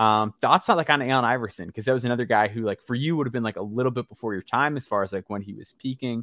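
A man with an American accent at a medium pitch, talking at a very fast pace with ordinary pitch variation, in a dry, close sound with no echo on a very clean recording with a silent background. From US Midwest, Chicago area. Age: 30s. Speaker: basketball podcast host. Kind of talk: casual interview.

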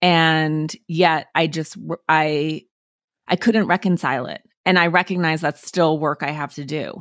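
A woman with an American accent talks at a fairly slow pace in a very deep, low voice. The sound is dry and close, with no echo. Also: very clean recording, silent background. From Montana, US. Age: 40s. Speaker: author. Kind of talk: interview.

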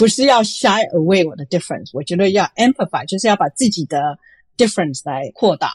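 Somewhat breathy and at a fairly quick pace, a woman speaks with very wide pitch swings. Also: medium pitch for a woman. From Taiwan (Chiayi), moved to US at 15. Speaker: venture capitalist. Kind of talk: interview. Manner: frequent hesitations and Chinese-English code-switching.

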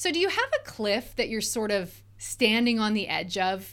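Here is a woman with a normal speaking voice, fairly high in pitch, talking at a fairly slow pace with lively intonation. The recording is very clean, with a silent background. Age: 40s. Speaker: life coach and podcast host. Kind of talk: solo podcast monologue. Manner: conversational, upbeat.

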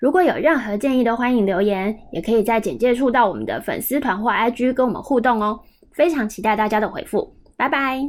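A woman's fairly high, fairly quick delivery in a normal speaking voice, with ordinary pitch variation. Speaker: podcast host. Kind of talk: casual interview chat; scripted intro and outro.

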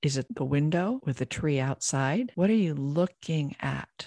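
With a very deep, low pitch, a woman speaks at a fairly slow pace in a dark, mellow, calm and soothing tone with lively intonation, in a dry, close sound with no echo. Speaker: podcast host and business coach. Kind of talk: guided meditation. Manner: slow, calm, soothing.

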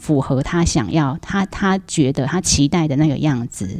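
Intonation is lively, and the pace holds moderate. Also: woman. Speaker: school principal. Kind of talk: casual chat.

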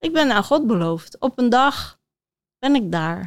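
Heard on a very clean recording with a silent background, this is a normal speaking voice. It moves at a moderate pace with lively intonation. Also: woman. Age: 60s. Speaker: author and body coach. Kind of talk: interview before live audience. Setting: theater stage with audience.

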